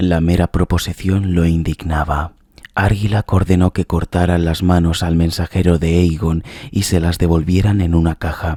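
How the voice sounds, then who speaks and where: Whispering in a calm tone, a man keeps his loudness very even. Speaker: ASMR narrator. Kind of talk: reading aloud. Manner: slow, calm.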